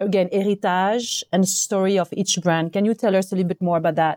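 In a French accent, a woman speaks at a medium pitch with fairly even intonation and a dark, mellow tone, the sound dry and close with no echo. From France. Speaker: consultant, guest interviewer. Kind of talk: interview.

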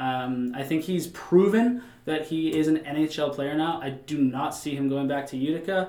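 Against noticeable background noise, a man speaks in an animated tone at a fairly high pitch. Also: ordinary pitch variation, moderate pace, hardly any pauses. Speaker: podcast host. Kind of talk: casual sports podcast chat.

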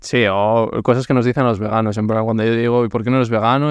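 Against a quiet background, a man with a medium-pitched voice talks at a fairly quick pace in a flat, monotone delivery. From Basque Country. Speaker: podcast host. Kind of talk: casual interview.

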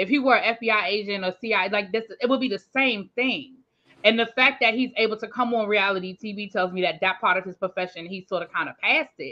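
A woman talks at a fairly quick pace in a fairly high pitch. She has an unremarkable speaking voice with ordinary pitch variation. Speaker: live chat guest. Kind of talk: casual chat.

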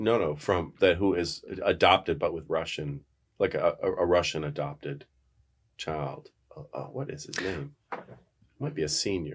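A man speaks with an American accent at a moderate pace. He leaves long, frequent pauses. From upstate New York, near the Canadian border. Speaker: professor and university administrator. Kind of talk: casual interview chat.

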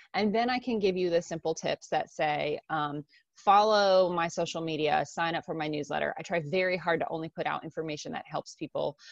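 With an American accent and a plain, everyday voice, a woman speaks at a fairly quick pace with hardly any pauses, a fairly low pitch and ordinary pitch variation, recorded in a dry, close sound with no echo over a quiet background. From US, Japanese American family. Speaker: time management coach and entrepreneur. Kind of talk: interview.

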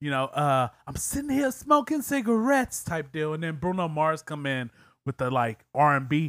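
Speaking with an American accent, a man with an unremarkable speaking voice keeps a moderate pace and lively intonation, the sound dry and close with no echo on a very clean recording with a silent background.

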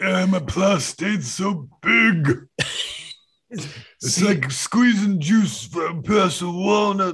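Mumbling very slowly, a man speaks in a high, creaky voice with lively intonation. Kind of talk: comic overacting. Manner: smug, rambling.

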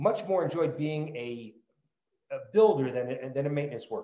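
This is a man with an American accent. His pitch is fairly high. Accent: New Jersey, tempered by California. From New Jersey. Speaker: startup founder. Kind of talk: casual interview chat.

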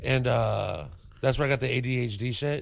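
Speaking at a moderate pace, a man with a medium-pitched voice shows vocal fry. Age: 30s. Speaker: stand-up comedian. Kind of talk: casual chat.

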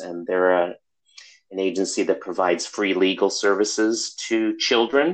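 In an American accent, a man talks in a normal speaking voice at a moderate pace, with a fairly low pitch and ordinary pitch variation. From US Midwest, Chicago. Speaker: social work professor. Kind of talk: interview.

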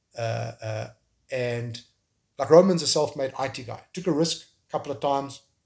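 Somewhat breathy, a man with a South African accent speaks at medium pitch and a moderate pace with ordinary pitch variation. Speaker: tech entrepreneur and filmmaker. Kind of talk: interview. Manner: halting, with frequent repetitions.

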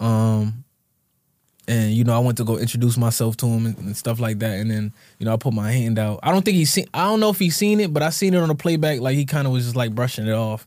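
The dark, mellow voice races along at a very fast pace with ordinary pitch variation. The recording is very clean and the background silent. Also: man. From Connecticut (Bloomfield). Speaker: rapper. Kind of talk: casual chat. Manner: halting.

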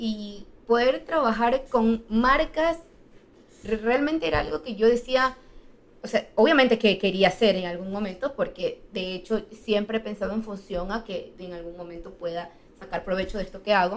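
Using a normal speaking voice, a woman talks at a moderate pace and fairly high pitch, with big swings in loudness. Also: lively intonation. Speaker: travel content creator. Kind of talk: casual chat.

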